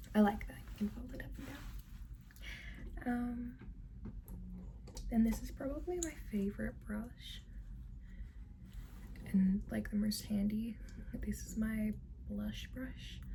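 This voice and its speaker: A woman talks at a very slow pace with long, frequent pauses. Noticeable background noise runs underneath. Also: big swings in loudness. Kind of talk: ASMR ramble to camera. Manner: soft-spoken, whispery.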